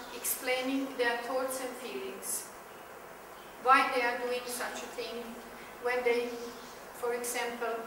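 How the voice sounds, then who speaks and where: A woman's raised, projected voice amid noticeable background noise and audible room echo. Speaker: teacher trainer. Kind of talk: explanatory talk to teachers. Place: classroom.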